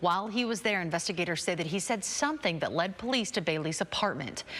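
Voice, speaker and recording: A woman with an ordinary speaking voice talks at a fairly quick pace. Her intonation is lively. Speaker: TV news anchor. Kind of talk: TV news read.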